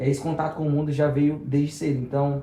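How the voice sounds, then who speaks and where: A somewhat breathy voice with a dark, mellow tone and audible room echo. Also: man. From Brazil, Rio Grande do Norte (Macau). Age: 20s. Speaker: evangelist and youth leader. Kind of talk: testimony.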